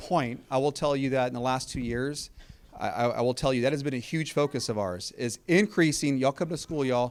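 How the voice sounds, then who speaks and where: An unremarkable speaking voice with an American accent, fairly quick pace and ordinary pitch variation on a very clean recording with a silent background. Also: man, medium pitch for a man. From Texas, South Austin. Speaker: school district superintendent. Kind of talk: community meeting Q&A.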